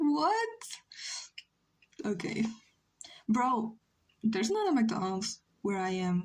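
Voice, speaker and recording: A woman with a fairly high voice speaks very slowly with long, frequent pauses, her delivery somewhat breathy and her intonation lively. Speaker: streamer drawing live. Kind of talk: casual chat. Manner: halting.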